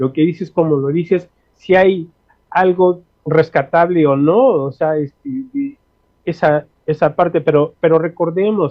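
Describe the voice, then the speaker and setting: This man's voice is high in pitch, with ordinary variation. He talks at a fairly slow pace. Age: 60s. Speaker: linguist. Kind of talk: interview. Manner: halting, many fillers.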